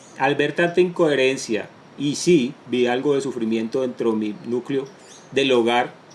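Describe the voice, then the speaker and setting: A man's medium-pitched voice at a fairly slow pace, over noticeable background noise. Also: ordinary pitch variation. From Colombia, Caribbean coast (Barranquilla), moved to Bogotá at ten. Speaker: entrepreneur. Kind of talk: interview testimony.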